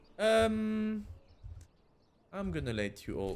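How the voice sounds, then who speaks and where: A man with a non-native accent speaks with very wide pitch swings. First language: not English. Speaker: gaming YouTuber. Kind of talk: let's play gameplay commentary. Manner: hesitant, many fillers.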